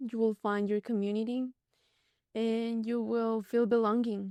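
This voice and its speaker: In a Spanish accent, a woman talks at a fairly slow pace with monotone, flat intonation and a fairly high pitch, her tone dark and mellow, the sound dry and close with no echo on a very clean recording with a silent background. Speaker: podcast guest, immigrant. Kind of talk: casual chat.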